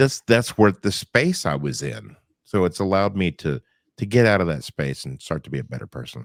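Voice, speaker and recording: Vocal fry runs through this fairly quick delivery, captured in a very clean recording with a silent background. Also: man, dry, close sound with no echo. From Northwest Arkansas. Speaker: podcast guest, former radio worker and professional singer.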